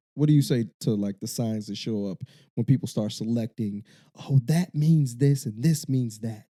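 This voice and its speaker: A man with a Chicago accent speaks at a medium pitch with ordinary pitch variation and a dark, mellow tone, in a dry, close sound with no echo and a very clean recording over a silent background. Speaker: podcast host. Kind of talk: casual podcast chat. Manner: fast.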